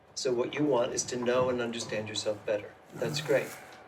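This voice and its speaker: There is audible room echo and noticeable background noise as a man delivers his words at a moderate pace. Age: 70s. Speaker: speaker on spirituality. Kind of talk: interactive talk to audience. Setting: room with live audience. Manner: conversational.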